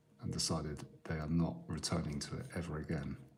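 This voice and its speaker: Music plays behind a man with a very deep, low voice. His intonation is fairly even, and the room echo is audible. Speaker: artist. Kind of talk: live drawing stream commentary. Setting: live stream. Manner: calm; quiet.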